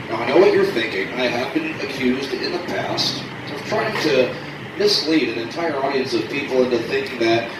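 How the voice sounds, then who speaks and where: A fairly high-pitched man, animated in tone with lively intonation, at a moderate pace over noticeable background noise. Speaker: sideshow host / barker. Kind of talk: stage show narration of a blade box act. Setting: outdoors, live crowd at a fairground. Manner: showman, animated, jokey.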